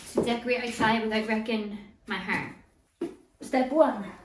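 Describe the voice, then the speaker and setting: A woman talks at a fairly slow pace. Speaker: home decor vlogger. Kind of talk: casual talk to camera.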